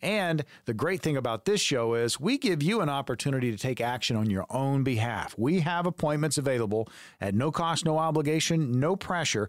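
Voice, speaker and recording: With an unremarkable speaking voice, a man talks at a fairly quick pace with lively intonation. The recording is very clean, with a silent background. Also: fairly high pitch for a man. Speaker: radio co-host and consumer advocate. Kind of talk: radio announcer, upbeat promo and interview questions. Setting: radio studio. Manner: polished, upbeat, announcer-like pitch.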